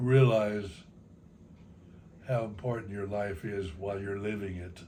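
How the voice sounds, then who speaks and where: With an American accent, a man with fairly low pitch and a dark, mellow, somewhat breathy tone speaks at a fairly slow pace with fairly even intonation and audible room echo. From Texas (San Antonio). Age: 90s. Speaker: grandfather telling life stories. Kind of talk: family interview, life reflections. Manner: halting.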